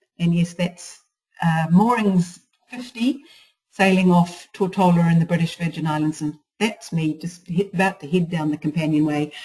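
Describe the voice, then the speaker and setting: The woman's voice is fairly low, somewhat breathy and dark and mellow in tone. She keeps a moderate pace with ordinary pitch variation. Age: 60s. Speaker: business coach. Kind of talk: webinar presentation. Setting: online webinar.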